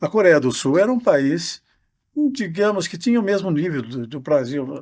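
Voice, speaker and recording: In a very clean recording with a silent background, a man with a high voice speaks at a moderate pace, his pitch swinging very widely and his loudness shifting a lot. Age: 80s+. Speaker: professor. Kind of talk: casual chat.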